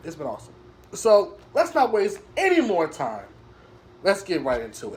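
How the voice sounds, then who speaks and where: With an animated tone, a man talks at a fairly quick pace. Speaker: wrestling show reviewer. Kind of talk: casual video review monologue.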